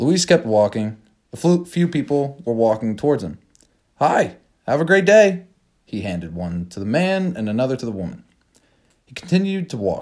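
A man talks at a fairly high pitch with very wide pitch swings. His pace is moderate, broken by long, frequent pauses. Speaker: podcast narrator. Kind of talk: scripted narration; dramatic short story reading. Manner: measured storyteller pacing, suspenseful build.

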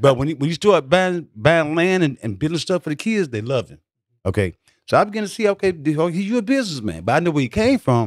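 Talking at a very fast pace, a man with a fairly high pitch makes very wide pitch swings, in a dry, close sound with no echo. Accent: Southern US. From US South. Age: 70s. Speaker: war veteran. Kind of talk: casual interview storytelling. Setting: studio.

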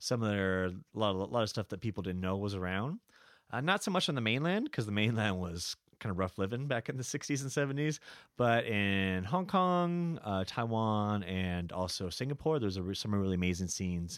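A man with a normal speaking voice talks at a moderate pace with a fairly low pitch. His intonation is lively, and the recording is very clean with a silent background. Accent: American. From California. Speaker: bar owner and music columnist. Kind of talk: casual chat. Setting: studio.

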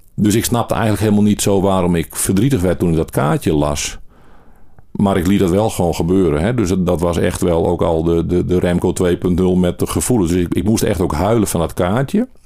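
A man's very deep, low voice, very even in loudness, fairly quick, with ordinary pitch variation. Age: 40s. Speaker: interviewee sharing mental health experience. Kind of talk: personal testimony interview. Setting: in-person interview.

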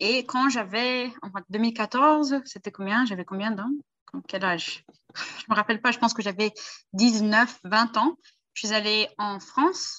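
A woman talks at a fairly slow pace in a fairly high voice with ordinary pitch variation. She has a plain, everyday voice. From Brazil. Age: 20s. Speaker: language tutor. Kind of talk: casual chat.

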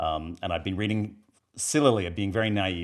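A very clean recording with a silent background captures a man speaking with an Australian accent. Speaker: filmmaker and graphic novel author. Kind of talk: casual interview chat.

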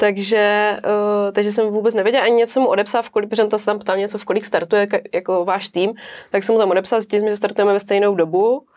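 The delivery is very fast. Its intonation is monotone and flat. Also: woman, medium pitch for a woman. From Czech Republic, Zátopek's hometown. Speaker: hobby trail runner. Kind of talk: casual chat.

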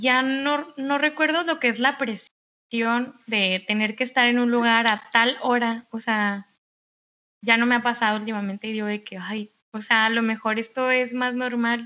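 A woman's fairly high, bright, sharp voice at a fairly slow pace, over a quiet background. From Mexicali, Baja California, Mexico. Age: 20s. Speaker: architect. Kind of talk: casual chat.

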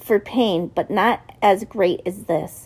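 Plain reading aloud, pitch moving in an ordinary way

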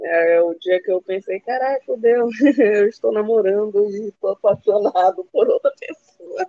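Pauses are hardly present as the speaker proceeds at a fairly slow pace. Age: 20s. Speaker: art student. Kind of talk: casual chat.

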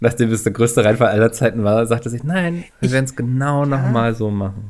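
A man talks at a very fast pace. His voice sits at a medium pitch. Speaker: podcast co-host. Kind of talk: casual chat.

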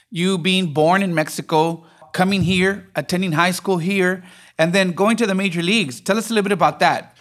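In a very clean recording with a silent background, a man with a high pitch talks at a fairly quick pace with ordinary pitch variation. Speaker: church pastor and podcast host. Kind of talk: interview intro and Q&A conversation.

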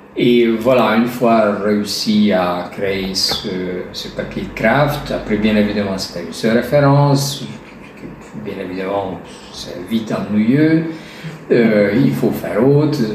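With a Hungarian accent, the speaker goes at a very slow pace with ordinary pitch variation, amid noticeable background noise and audible room echo. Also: man, fairly low pitch for a man. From Hungary. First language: Hungarian (speaking French). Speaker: artisan gilder. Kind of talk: interview. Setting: gallery showroom. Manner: halting.

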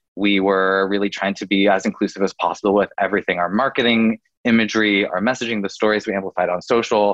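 Delivered at a very fast pace, the speech has monotone, flat intonation and a West Coast US accent. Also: man, fairly low pitch for a man. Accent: General American, West Coast. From US West Coast, Oregon. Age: 30s. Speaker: digital content creator and LGBTQ advocate. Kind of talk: casual interview chat.

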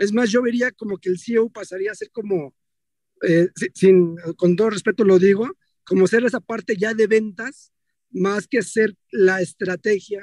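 A man with a high-pitched voice speaks in a dry, close sound with no echo. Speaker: audience participant. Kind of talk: audience question. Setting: driving in a car.

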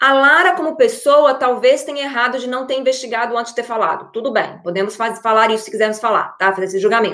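Very fast pace from a woman with high pitch and ordinary pitch variation. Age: 30s. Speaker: online coach for married women. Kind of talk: live stream talk. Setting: live video stream. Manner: hesitant, many fillers.

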